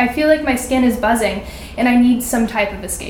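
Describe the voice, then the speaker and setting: Speaking at a fairly quick pace with fairly even intonation, a high-pitched woman with an American accent is heard amid noticeable background noise and audible room echo. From California, Sacramento. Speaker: college student. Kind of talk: reading aloud. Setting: stage with audience at a winery.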